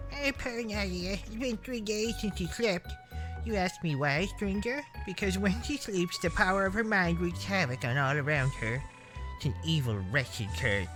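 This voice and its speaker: This is a put-on character voice. Clear music plays in the background. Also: moderate pace. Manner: mournful, droopy.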